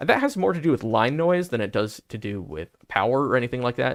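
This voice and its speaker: A man's voice with lively intonation, in a very clean recording with a silent background. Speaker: company representative presenting product. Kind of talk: livestream product presentation with Q&A. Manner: fast.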